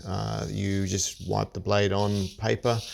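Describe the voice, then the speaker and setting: Very slow and monotone in flat intonation, a man with an Australian accent speaks at a fairly low pitch on a very clean recording with a silent background. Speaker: shaving hobbyist. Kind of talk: tutorial. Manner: halting.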